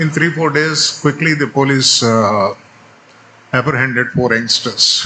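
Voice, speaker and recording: Male voice at a fairly high pitch with a Telugu accent, fairly slow pace, very even loudness, ordinary pitch variation and noticeable background noise. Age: 70s. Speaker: retired Supreme Court judge. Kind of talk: speech.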